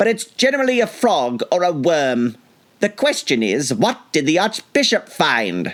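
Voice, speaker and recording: A man puts on a character voice, pitched high and swinging very widely in pitch. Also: moderate pace. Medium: read story.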